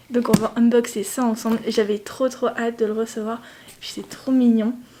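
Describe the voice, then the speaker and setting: A woman talks at a moderate pace in a high pitch. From France. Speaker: lifestyle vlogger. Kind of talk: casual vlog. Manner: chatty, hesitant.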